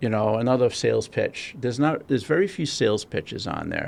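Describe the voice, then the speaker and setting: Someone with a Massachusetts accent talks at a fairly quick pace. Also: man. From Rhode Island. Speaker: podcast co-host. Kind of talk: casual podcast chat.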